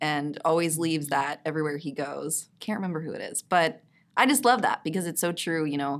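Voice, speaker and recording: At a moderate pace, a woman with an American accent speaks in a very deep, low pitch with ordinary pitch variation. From Texas. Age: 30s. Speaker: violinist and actress. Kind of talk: casual interview chat.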